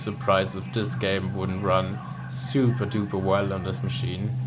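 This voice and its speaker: A man speaks at a fairly slow pace with audible room echo. Music plays in the background. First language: German. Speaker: gaming YouTuber. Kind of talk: gameplay commentary. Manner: casual, hesitant with fillers.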